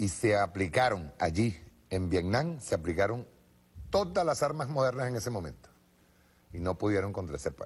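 Speaking at a moderate pace, a man with a fairly low, somewhat breathy voice makes very wide pitch swings and takes long, frequent pauses. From Venezuela. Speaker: TV political show host. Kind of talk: political commentary. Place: studio.

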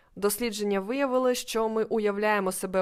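On a very clean recording with a silent background, a woman with a fairly high pitch talks at a moderate pace in a plain, everyday voice. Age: 20s. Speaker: podcast host and life coach. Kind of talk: solo educational monologue.

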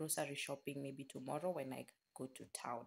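The speaker is a woman. Light background noise sits behind her voice. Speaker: vlogger. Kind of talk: casual vlog chat. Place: home room. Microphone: phone near.

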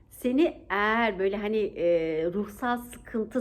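A woman speaks in an animated tone. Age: 40s. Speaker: vlogger. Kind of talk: motivational vlog talk. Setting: outdoors.

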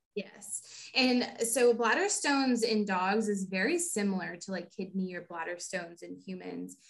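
A somewhat breathy woman with an American accent, medium pitch, moderate pace, ordinary pitch variation and big swings in loudness. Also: hardly any pauses. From Texas, Houston. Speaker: veterinarian. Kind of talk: interview.

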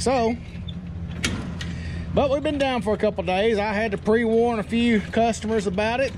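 A man talks at a moderate speed, with clear background noise present behind him. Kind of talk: casual vlog chat. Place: street. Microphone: phone near.

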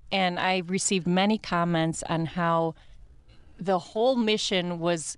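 A woman with a Midwestern American accent, fairly low in pitch, with fairly even intonation and a dry sound with no echo. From US Midwest. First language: Italian. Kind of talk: radio interview. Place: studio. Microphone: studio mic.

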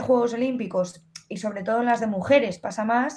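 A woman's high voice with ordinary pitch variation at a moderate pace. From Spain. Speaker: fencer; interviewee. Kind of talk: casual interview. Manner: animated. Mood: lively, animated. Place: home room. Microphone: earbuds.

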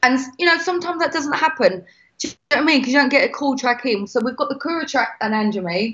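Over a quiet background, a woman with a Cockney accent lets her pitch swing very widely. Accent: British, Cockney. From England (London). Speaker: singer; guest. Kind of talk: casual chat. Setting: video call. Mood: upbeat, chatty. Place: home room. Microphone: video call.

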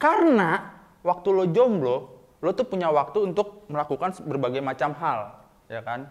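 This man talks at a moderate pace. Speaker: student stand-up comedian. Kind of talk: stand-up comedy. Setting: stage with audience. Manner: animated, cheeky self-deprecating punchlines; catchphrase-heavy, playful, with audience call-outs. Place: studio.

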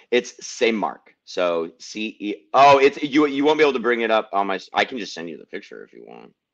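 A man speaks at medium pitch with lively intonation, big swings in loudness and hardly any pauses. It is an ordinary speaking voice, set against a quiet background. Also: moderate pace. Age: 40s. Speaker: activist; podcast host. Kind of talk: casual chat. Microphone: studio mic.

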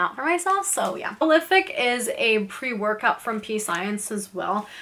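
Ordinary pitch variation marks the way a woman talks. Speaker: vlogger. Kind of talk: casual vlog chat. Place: home room.

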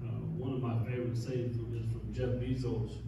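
A man's fairly slow speech in strong room echo, with noticeable background noise. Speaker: pastor. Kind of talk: sermon. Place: church.

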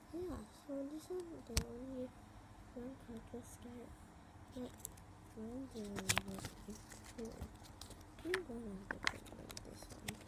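A soft-spoken woman talks at a high pitch and a very slow pace, with long, frequent pauses. Her loudness swings widely, and there is noticeable background noise. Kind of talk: casual toy unboxing talk to camera.

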